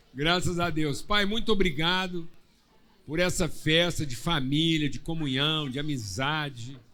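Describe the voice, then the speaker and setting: Audible room echo hangs on this voice. The man's delivery is fairly slow. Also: fairly high pitch for a man, ordinary pitch variation. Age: 60s. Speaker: pastor. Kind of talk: church service hosting, casual joking; prayer.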